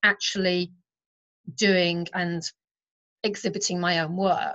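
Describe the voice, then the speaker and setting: In a British accent, a woman speaks at a very slow pace. Her pitch is medium and her intonation monotone and flat. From England. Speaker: artist. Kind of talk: interview.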